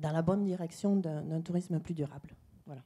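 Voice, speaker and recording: Dark, mellow tone in a woman's fairly low-pitched voice. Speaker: tourism data company representative. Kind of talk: panel presentation. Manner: hesitant, many fillers.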